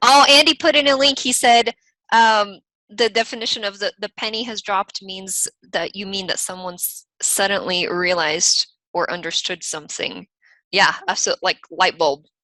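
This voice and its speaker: A woman with a slight Eastern European accent, medium in pitch, bright and sharp in tone, with lively intonation. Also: big swings in loudness, quiet background. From US, raised by Ukrainian/Russian parents. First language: Russian or Ukrainian, bilingual from childhood. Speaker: software company team member co-hosting a webinar. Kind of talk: live webinar Q&A and screen-share tutorial.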